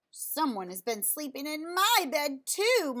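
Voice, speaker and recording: Putting on a character voice, a woman speaks high-pitched at a fairly slow pace with very wide pitch swings. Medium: read story. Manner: huffy.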